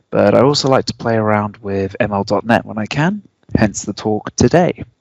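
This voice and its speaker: A man speaks with a British accent at a fairly low pitch. The sound is dry and close, with no echo. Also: ordinary pitch variation, moderate pace. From UK. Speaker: software engineer. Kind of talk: technical presentation.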